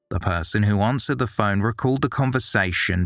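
Music plays in the background as a man speaks at a moderate pace, his fairly low pitch showing ordinary variation. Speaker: podcast narrator. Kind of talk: true-crime narration. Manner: measured, grave, steady storytelling pace.

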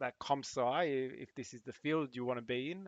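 The sound is dry and close with no echo as a man speaks at medium pitch with an Australian accent. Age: 40s. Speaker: cybersecurity professional and former air force member. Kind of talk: casual interview chat. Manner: halting, with many repeated words.

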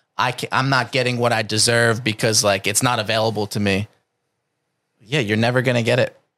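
A man with an American accent speaks fairly quickly in a medium pitch, his tone bright and sharp. His intonation stays monotone and flat, and the recording is very clean with a silent background. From New Jersey. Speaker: calisthenics coach. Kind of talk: casual interview chat. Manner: intense, forceful.

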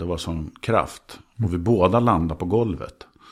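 A man's unremarkable speaking voice, ordinary pitch variation, moderate pace. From Sweden, grew up in Skåne, Trollhättan and Södertälje area. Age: 50s. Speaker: TV presenter and actor. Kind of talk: casual chat.

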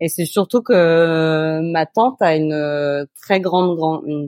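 This is a woman with a fairly low pitch. The recording sounds dry and close, with no echo. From Normandy, France (near Évreux). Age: 30s. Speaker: podcast guest, food photographer and blogger. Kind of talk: casual interview. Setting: remote call from Montreal. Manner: halting, many repetitions and fillers.

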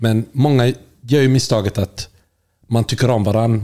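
Fairly even intonation runs through this man's dark, mellow tone. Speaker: podcast co-host. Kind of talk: casual chat.

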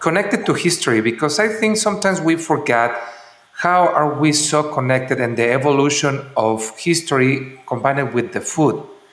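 A man talks at a moderate pace with lively intonation. Noticeable background noise and audible room echo surround his voice. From Mexico, San Miguel de Allende. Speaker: podcast host, hospitality executive. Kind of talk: interview.

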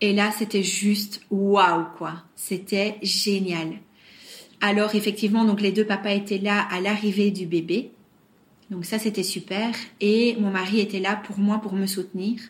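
Somewhat breathy, a woman talks at a very slow pace. Her medium pitch holds a monotone, flat intonation. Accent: slight Belgian. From Belgium, Brussels. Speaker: surrogate mother. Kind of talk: interview testimony. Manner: hesitant, many fillers and repetitions.

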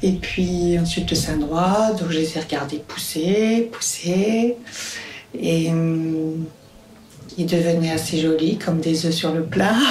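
Over noticeable background noise, a woman speaks very slowly at a fairly low pitch. Her loudness is very even and her intonation fairly even. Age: 50s. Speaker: midwife. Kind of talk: testimony.

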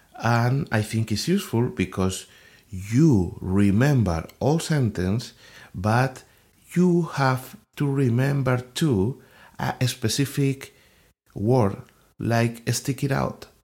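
The speaker has a non-native accent and lively intonation, moving at a very slow pace with long, frequent pauses. The recording is very clean, with a silent background. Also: man, medium pitch for a man. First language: not English. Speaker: podcast host, English learner. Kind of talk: solo educational monologue. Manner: halting, with fillers and repetitions.

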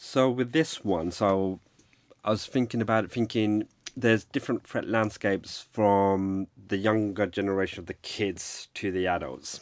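A man with a London accent speaks at a moderate pace and a fairly low pitch. His pitch varies in an ordinary way on a very clean recording with a silent background. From London (Hackney). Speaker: cybersecurity risk executive. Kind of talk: interview conversation. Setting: studio. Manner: hesitant, many fillers.

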